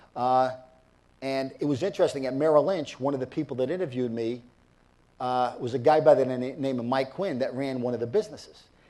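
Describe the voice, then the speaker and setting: Speaking at a fairly quick pace, a man has a New York accent and a medium pitch with ordinary variation. His tone is dark and mellow. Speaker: business executive and former football coach. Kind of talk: interview.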